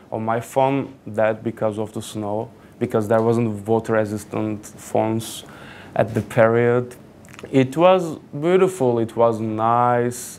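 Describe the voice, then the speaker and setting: With a Turkish accent, a man speaks at a medium pitch with ordinary pitch variation. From Turkey, Kuşadası (Aegean coast). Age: 20s. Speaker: student speaker. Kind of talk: personal talk to an audience. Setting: stage with audience. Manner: casual, halting with fillers.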